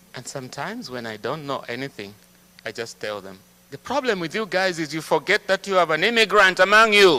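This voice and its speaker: In an African accent, a man speaks at a fairly quick pace in a high pitch with a bright, sharp tone, very wide pitch swings, and big swings in loudness. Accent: African accent, can't sound American. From Zambia. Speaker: guest speaker. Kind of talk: church talk to congregation.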